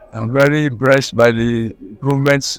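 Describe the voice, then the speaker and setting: Music plays behind a man speaking at a medium pitch. His delivery is flat and monotone. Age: 80s+. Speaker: club member. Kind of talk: interview testimony. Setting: in a wheelchair.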